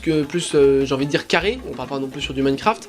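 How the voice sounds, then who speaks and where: With music playing in the background, a man speaks at a very fast pace. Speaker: drawing YouTuber. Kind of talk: tutorial. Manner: hesitant, many fillers.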